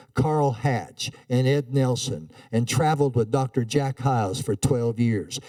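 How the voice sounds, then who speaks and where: Speaking at a fairly slow pace with an American accent, a man has a dark, mellow tone at medium pitch with ordinary pitch variation. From Montana, US. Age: 80s+. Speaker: evangelist preacher. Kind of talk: sermon. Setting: church. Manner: halting.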